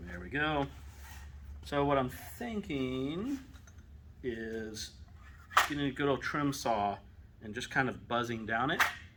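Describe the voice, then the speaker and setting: At a very slow pace with long, frequent pauses, a man speaks at a medium pitch, his tone bright and sharp and his intonation lively. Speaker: maker building a weapon prop. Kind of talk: casual workshop build commentary.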